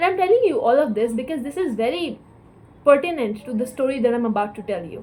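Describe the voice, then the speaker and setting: This voice has a dark, mellow tone and moves at a very fast pace, with very wide pitch swings and big swings in loudness. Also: woman, high pitch for a woman. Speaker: vlogger. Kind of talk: personal vlog monologue.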